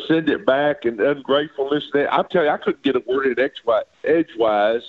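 A man is speaking. He has an Arkansas accent. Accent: US Southern (Arkansas). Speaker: retired baseball pitcher and coach. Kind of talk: casual interview, storytelling.

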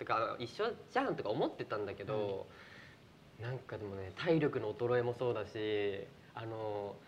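The pace is moderate. The pitch variation is ordinary. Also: man, medium pitch for a man. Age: 20s. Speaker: actor and show host. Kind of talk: casual chat on live stream. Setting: live stream from studio. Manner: animated.

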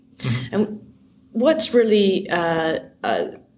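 Over noticeable background noise and audible room echo, a woman with a Canadian accent speaks at a medium pitch with very wide pitch swings. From Canada. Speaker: software founder and CEO. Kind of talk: conference interview. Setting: conference venue.

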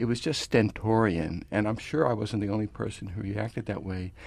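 With an ordinary speaking voice, a man talks at a moderate pace, fairly low in pitch, with ordinary pitch variation. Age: 60s. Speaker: author and concert programmer. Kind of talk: radio interview discussion.

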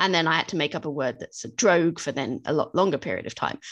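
With a British accent, a woman speaks at a very fast pace and a fairly low pitch against a quiet background. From Britain. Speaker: fiction author. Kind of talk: interview.

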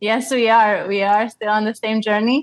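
A woman with a fairly high pitch and a Slovak accent, in a dry, close sound with no echo. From Slovakia. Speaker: ecologist and cycle tourer. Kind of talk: interview.

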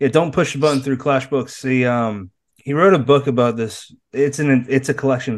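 A man with an American accent and a plain, everyday voice speaks at medium pitch and moderate pace, with ordinary pitch variation against a quiet background. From Massachusetts. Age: 30s. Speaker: podcast host. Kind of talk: casual interview chat.

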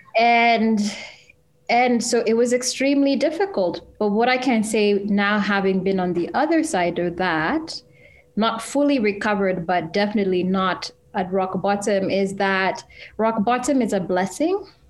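Using an unremarkable speaking voice with an American accent, a woman speaks at a moderate pace and medium pitch, with ordinary pitch variation and very even loudness. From Kenya, then US from age 12. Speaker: journalist and podcast festival co-founder. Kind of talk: casual interview.

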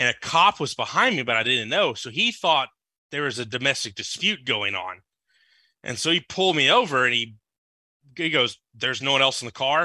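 In an American accent, a bright, sharp tone carries lively intonation at a fairly quick pace in a very clean recording with a silent background. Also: man, medium pitch for a man. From Louisiana (Lafayette, Lake Charles). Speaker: podcast listener and patron. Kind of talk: casual chat.

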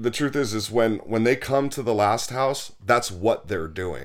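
Ordinary pitch variation marks this man's medium-pitched, fairly slow speech. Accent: American. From Los Angeles. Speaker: sober living house founder. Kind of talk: casual interview. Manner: halting, many repeated words.

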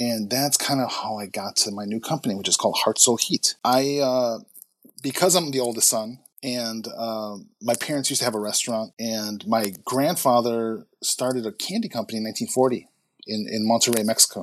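Speaking fairly quickly with a Chicago accent, a man uses a medium pitch with ordinary variation. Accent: Chicago American English. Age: 40s. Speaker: entrepreneur. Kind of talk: interview conversation. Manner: halting.

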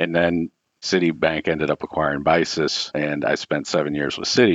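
A man's very deep, low voice with vocal fry and an American accent. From US Midwest, Cincinnati. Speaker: fund administration CEO. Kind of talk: interview.

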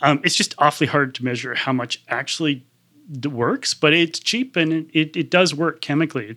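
With a Canadian accent, a man speaks at a moderate pace in a fairly high pitch with a bright, sharp tone. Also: ordinary pitch variation. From Canada. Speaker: climate policy researcher. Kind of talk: interview. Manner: halting, many self-corrections.

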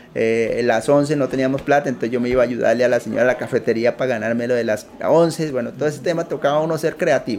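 A man speaks at a fairly high pitch with ordinary pitch variation. His pace is fairly quick, and there is noticeable background noise. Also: hardly any pauses. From Colombia, Putumayo. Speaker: entrepreneur. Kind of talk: interview. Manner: halting.

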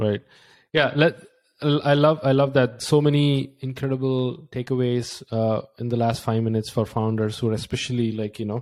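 On a very clean recording with a silent background, a man with an Indian accent speaks at a medium pitch with fairly even intonation. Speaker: podcast host and founder. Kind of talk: casual interview chat.

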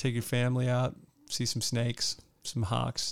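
A man with a normal speaking voice, at a medium pitch and a moderate pace. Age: 40s. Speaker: movie podcast co-host. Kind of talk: casual chat.

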